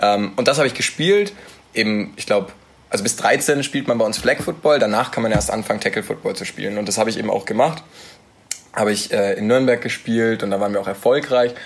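Over noticeable background noise, a man talks at a very fast pace and a medium pitch. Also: ordinary pitch variation. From Nuremberg, Franconia (Bavaria). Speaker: American football quarterback. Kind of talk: casual interview. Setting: studio.

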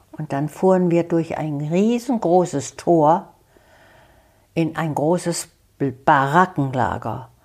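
Very slowly and with long, frequent pauses, a woman speaks at a fairly low pitch. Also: ordinary pitch variation. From Germany. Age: 90s. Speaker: elderly eyewitness. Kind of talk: life story interview. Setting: her living room.

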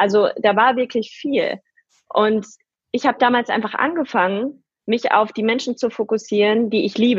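A woman with an ordinary speaking voice and a fairly high pitch talks at a moderate pace with ordinary pitch variation. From Germany, near Paderborn (East Westphalia). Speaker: entrepreneur and podcaster. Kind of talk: interview.

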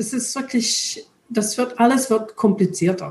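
A woman speaks with an English accent and ordinary pitch variation. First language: English (speaking German). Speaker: retired charity director, European volunteering advocate. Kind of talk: interview. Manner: halting, hesitant.

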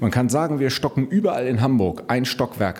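Noticeable background noise accompanies a man who talks at a moderate speed. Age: 40s. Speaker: politician and lawyer. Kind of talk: political interview.

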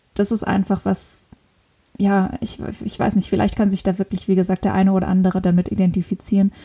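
A woman of medium pitch talks at a fairly quick pace with a dark, mellow tone and monotone, flat intonation, sounding somewhat breathy. The sound is dry and close with no echo. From northern Luxembourg. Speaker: podcast host. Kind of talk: solo podcast monologue. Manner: hesitant, many fillers.

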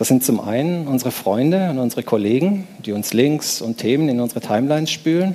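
Moderate-paced speech from a man at medium pitch, lively in intonation, with noticeable background noise. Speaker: conference speaker. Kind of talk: lecture. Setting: stage with audience.

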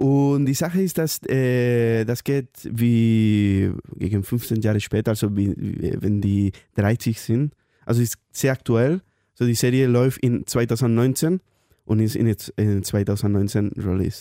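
A man with a Spanish accent speaks very slowly, his dark, mellow voice kept at a very even loudness. The sound is dry and close with no echo, on a very clean recording with a silent background. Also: medium pitch for a man, ordinary pitch variation. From Spain. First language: Spanish (speaking German). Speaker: intern. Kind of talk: casual chat. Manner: halting.

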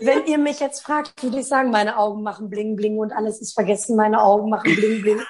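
A woman talks at a very fast pace with hardly any pauses, her pitch fairly high and its variation ordinary. Noticeable background noise sits under her voice. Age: 30s. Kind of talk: interview.

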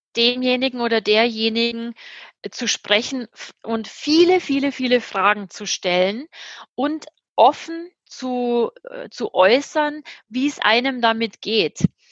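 A woman's high pitch with ordinary pitch variation, at a very slow pace with long, frequent pauses, in a dry, close sound with no echo. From Germany. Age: 50s. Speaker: change management consultant. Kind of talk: interview. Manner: hesitant, many fillers.

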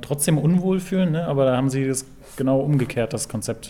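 A man talks fairly quickly in a medium pitch while noticeable noise sounds behind him. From Berlin. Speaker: podcast host. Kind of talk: casual chat.

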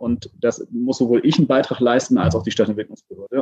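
The delivery is very fast. The sound is dry and close, with no echo. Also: man. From Hamburg. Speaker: city transport senator. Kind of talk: casual interview.

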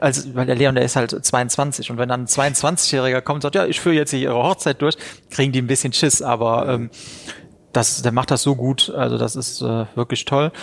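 A plain, everyday voice comes through here. Its pace is moderate and its intonation fairly even. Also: man, medium pitch for a man. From Rhineland-Palatinate, Germany (Neuwied area). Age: 30s. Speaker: wedding venue owner and entrepreneur. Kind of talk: interview.

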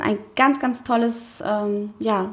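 A woman's voice over noticeable background noise. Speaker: podcast co-host, founder. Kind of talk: casual chat.

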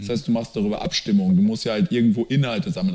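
With very wide pitch swings, a man talks at a medium pitch. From Lower Rhine region, Germany. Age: 30s. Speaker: startup founder. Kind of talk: interview.

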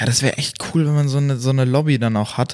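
Keeping his intonation fairly even, a man talks at a very fast pace. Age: 20s. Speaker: podcast co-host, software developer. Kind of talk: casual chat.

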